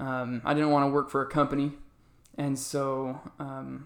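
On a very clean recording with a silent background, a man speaks at a fairly slow pace in a fairly high pitch with monotone, flat intonation. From Arizona. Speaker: financial business owner. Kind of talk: interview.

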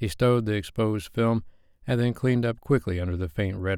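An unremarkable speaking voice keeps a moderate pace, its pitch varying in an ordinary way. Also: man. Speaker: audiobook narrator. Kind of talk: dramatic audiobook narration, intimate romance reading with character voices. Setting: studio.

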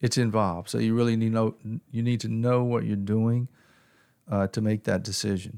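A man's medium-pitched voice with a dark, mellow tone, monotone flat intonation, very even loudness and a moderate pace. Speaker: financial advisor. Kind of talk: podcast interview about taxes.

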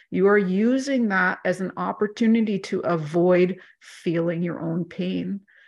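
A woman's unremarkable speaking voice, medium in pitch with ordinary pitch variation, against a quiet background. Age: 40s. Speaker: life coach or mentor. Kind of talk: casual interview chat.

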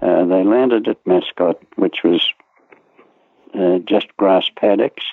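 The speaker has an Australian accent and a fairly slow pace. Pitch variation is ordinary. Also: man. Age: 90s. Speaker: war veteran. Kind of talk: interview storytelling.

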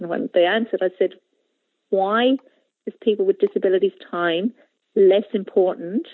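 A woman speaks at a moderate pace with an Ulster accent. Her pauses are long and frequent. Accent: Irish (Ulster border). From Ireland, Monaghan border area. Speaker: learning support teacher. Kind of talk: interview.

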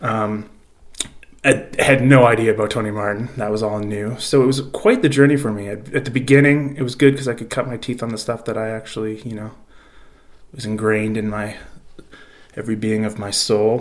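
A man with an ordinary speaking voice talks at a fairly quick pace with fairly even intonation and big swings in loudness. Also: medium pitch for a man. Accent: Canadian. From Canada. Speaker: podcast host. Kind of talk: recorded personal story.

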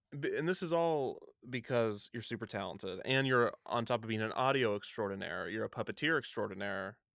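An unremarkable speaking voice comes through on a very clean recording with a silent background. The pace is fairly quick and the intonation lively. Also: man, medium pitch for a man. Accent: American. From US Midwest, near Kansas City. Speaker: podcast host. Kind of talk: casual chat.

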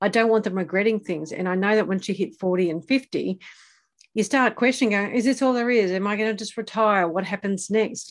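Against a quiet background, a woman with a plain, everyday voice and medium pitch talks at a fairly quick pace with ordinary pitch variation. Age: 50s. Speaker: podcast host and adventure coach. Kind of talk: casual interview.

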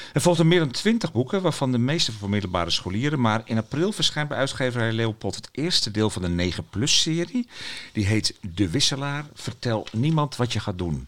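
This man's pitch swings very widely around a medium level as he talks at a moderate pace. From Friesland, Netherlands. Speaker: podcast host, children's book critic. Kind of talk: casual chat. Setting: children's bookshop.

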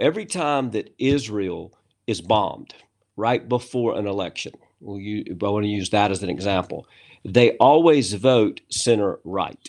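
A man with an American accent speaks in a plain, everyday voice at a moderate pace. His pitch is fairly low, with ordinary pitch variation. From USA, rural farm background. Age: 50s. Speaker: author and business leader. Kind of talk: casual interview chat.

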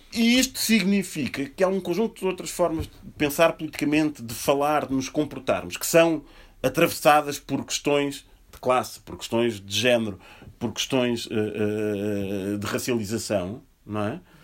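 This man's voice sits at a fairly high pitch. He moves at a moderate pace with very wide pitch swings. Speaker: historian and speaker. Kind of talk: panel talk. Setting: bookshop event with audience. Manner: standing, speaking louder.

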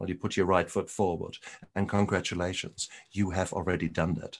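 A man with a German accent speaks in a very deep, low pitch against a quiet background. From Germany. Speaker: retired doctor and recovery podcaster. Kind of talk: interview conversation. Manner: animated.

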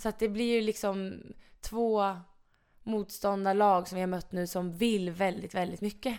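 Monotone and flat in intonation, a woman speaks at a fairly slow pace and medium pitch. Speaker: floorball player. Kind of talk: casual interview.

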